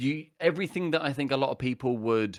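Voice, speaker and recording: A man with a British accent speaks with lively intonation on a very clean recording with a silent background. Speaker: podcast guest, gamer. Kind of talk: casual chat.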